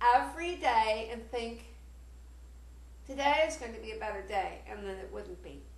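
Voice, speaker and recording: A woman speaks at a fairly slow pace. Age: 60s. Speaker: author and pianist. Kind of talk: personal talk to camera. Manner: hesitant, earnest.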